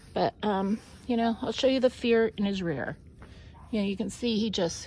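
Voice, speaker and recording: Soft-spoken and somewhat breathy, with a dark, mellow tone, ordinary pitch variation and a moderate pace. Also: woman, fairly high pitch for a woman. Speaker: burro trainer on a ranch. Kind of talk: casual instructional narration while working with animals.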